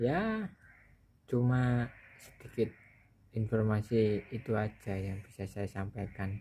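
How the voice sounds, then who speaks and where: The tone is dark and mellow, somewhat breathy, with fairly even intonation. Delivery is very slow, broken by long, frequent pauses. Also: man, fairly low pitch for a man. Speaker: tech video creator. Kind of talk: casual tutorial talk. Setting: home near rice fields. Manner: hesitant with fillers.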